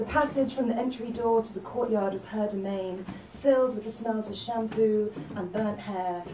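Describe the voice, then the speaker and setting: Here is a woman with a plain, everyday voice and a fairly high pitch. She keeps a moderate pace and ordinary pitch variation. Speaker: novelist. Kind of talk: spoken word reading of own fiction.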